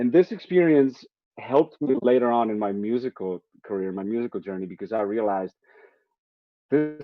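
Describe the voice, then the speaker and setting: Lively intonation and a fairly quick pace, broken by long, frequent pauses, come in a Czech accent. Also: man, medium pitch for a man. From Czech Republic. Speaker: jazz musician. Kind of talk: interview. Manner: halting.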